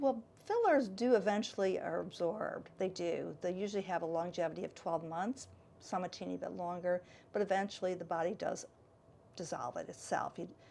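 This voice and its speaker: With an American accent, a woman speaks in a plain, everyday voice at medium pitch. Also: ordinary pitch variation, fairly quick pace. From Michigan, US Midwest. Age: 60s. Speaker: salon and med spa owner. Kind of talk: interview.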